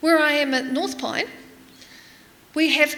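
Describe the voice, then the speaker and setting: A woman speaks in a raised, projected voice at a high pitch. She keeps a moderate pace, and audible room echo is present. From New Zealand. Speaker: preacher, church development worker. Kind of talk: sermon. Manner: conversational.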